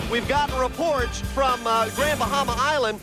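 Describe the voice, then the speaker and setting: A man's raised, projected voice, extremely high in pitch, with an American accent at a moderate pace over music in the background. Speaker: TV news anchor and host. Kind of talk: live field news report.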